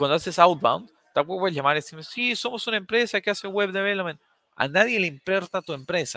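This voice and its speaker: A man's raised, projected voice, high in pitch and bright and sharp in tone, at a very fast pace. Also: ordinary pitch variation, dry, close sound with no echo. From Bolivia. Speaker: sales company founder. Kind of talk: webinar interview. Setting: online livestream.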